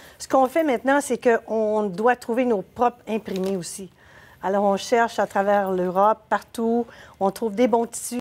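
A woman talks at a fairly slow pace in a fairly high voice. Her pitch varies in an ordinary way. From Quebec. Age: 60s. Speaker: clothing business owner; guest. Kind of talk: TV interview. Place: studio.

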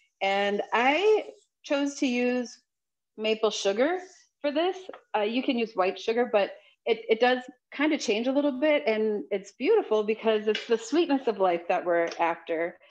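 With an American accent, a woman speaks at a moderate pace. Her pitch is fairly high and her intonation lively. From Wisconsin, Ho-Chunk Nation; Wisconsin. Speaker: chef; guest. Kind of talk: cooking demonstration; panel discussion. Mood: warm, cheerful. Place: kitchen. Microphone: video call.

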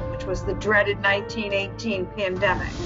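A woman's voice with clear music in the background. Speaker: daughter of guest. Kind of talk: interview answer. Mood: warm, proud. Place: home room. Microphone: video call.

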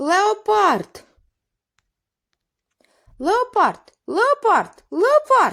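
A put-on character voice speaks at an extremely high pitch. The pace is very slow, with long, frequent pauses. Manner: alarmed, shouting.

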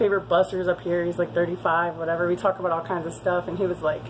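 A woman has a normal speaking voice with a fairly low pitch. She goes at a fairly quick pace over light background noise. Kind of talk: casual vlog chat. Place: bar. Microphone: phone near.

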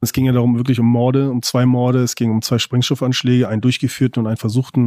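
At a very fast pace, a man with medium pitch and a dark, mellow tone is heard in a dry, close, very clean recording with no echo and a silent background. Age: 30s. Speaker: former gang member turned witness. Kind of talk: recorded interview.

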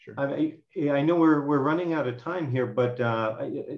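Against a quiet background, a man speaks at a moderate pace in an unremarkable speaking voice. His pitch is fairly high, with ordinary variation. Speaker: professor hosting webinar. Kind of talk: webinar introduction and closing remarks; webinar moderation and closing remarks. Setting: video call. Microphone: video call.

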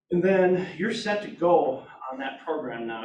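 A man's lively intonation carries through audible room echo and light background noise. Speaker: real estate agent. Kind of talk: team meeting discussion. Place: meeting room. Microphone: camera far.

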